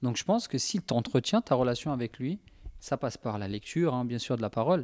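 Using a plain, everyday voice at a medium pitch, a man talks at a fairly quick pace, and the sound is dry and close with no echo. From Spanish heritage. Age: 30s. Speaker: youth leader. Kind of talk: casual chat.

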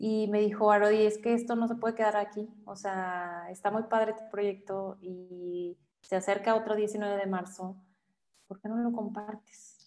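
The delivery is fairly slow with monotone, flat intonation. Loudness swings widely throughout. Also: woman, medium pitch for a woman. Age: 40s. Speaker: photographer. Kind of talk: casual interview chat. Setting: studio.

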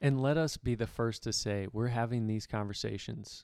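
An unremarkable speaking voice comes through at a moderate pace. The recording is very clean, with a silent background. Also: man. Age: 30s. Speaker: podcast co-host, landscaper. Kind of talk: casual faith discussion.

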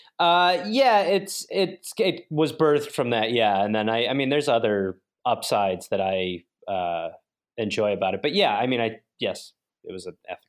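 Speaking at a moderate pace and medium pitch, a man with an American accent uses very wide pitch swings. His volume rises and falls sharply too. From US Midwest, Milwaukee. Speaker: comedian and podcast host. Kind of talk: casual chat. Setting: video call.

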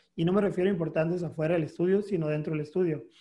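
With music in the background, a man speaks at a fairly high pitch and a fairly even intonation. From Mexico, Mexicali, Baja California. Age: 30s. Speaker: photographer. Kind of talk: interview. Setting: video call.

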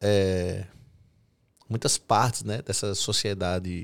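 Very clean audio of a man talking against total silence. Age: 30s. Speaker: podcast host and physical education teacher. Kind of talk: casual chat.

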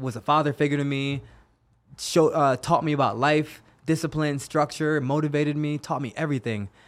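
A man with an American accent has an unremarkable speaking voice, a fairly high pitch and a moderate pace. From Jamaica, then US East Coast. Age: 30s. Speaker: UFC fighter. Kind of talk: casual interview. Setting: studio.

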